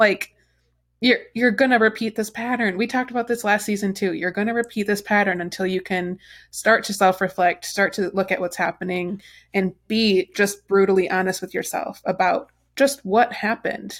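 A woman with a plain, everyday voice, moderate pace and fairly even intonation, in a very clean recording with a silent background. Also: medium pitch for a woman. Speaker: podcast host. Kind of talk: casual chat. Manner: chatty, fills with 'like'.

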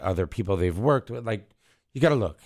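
A very clean recording against a silent background, of a man in an American accent with ordinary pitch variation. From US Midwest, Wisconsin. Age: 40s. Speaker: music engineer. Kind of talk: casual interview. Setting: radio studio. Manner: halting, many fillers.

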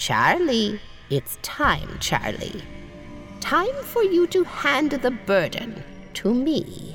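Clear music runs in the background as the speech moves at a very slow pace. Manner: scolding like a stern teacher, coaxing.

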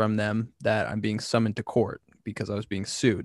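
A normal speaking voice with an American accent, at a moderate pace, with a dry, close sound with no echo and a quiet background. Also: man. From California. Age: 20s. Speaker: content creator. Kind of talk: casual chat.

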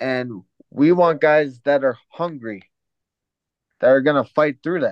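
A man speaks at a fairly high pitch with ordinary pitch variation and long, frequent pauses. The sound is dry and close, with no echo. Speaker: sports podcast co-host. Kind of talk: casual sports talk podcast.

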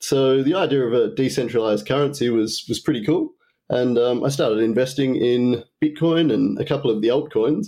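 At a fairly quick pace, a man speaks in a dark, mellow tone at a medium pitch, with ordinary pitch variation and very even loudness. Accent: Australian. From Tasmania, Australia. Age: 30s. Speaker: trading apprentice. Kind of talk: casual interview.

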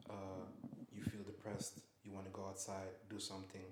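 A man's voice comes across somewhat breathy. His intonation is monotone and flat. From Netherlands, The Hague. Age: 20s. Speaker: podcast guest, stylist. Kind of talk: casual chat. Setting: studio.

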